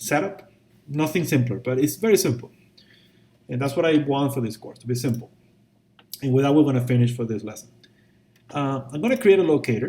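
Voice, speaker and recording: A man's fairly high, somewhat breathy voice with a dark, mellow tone, ordinary pitch variation, big swings in loudness, a fairly quick pace and long, frequent pauses. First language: not English. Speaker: VFX instructor. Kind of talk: tutorial. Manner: casual, conversational with fillers.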